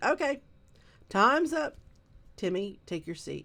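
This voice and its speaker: Putting on a character voice, a woman speaks fairly slowly at a fairly high pitch with very wide pitch swings. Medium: read story. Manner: firm, schoolmarmish.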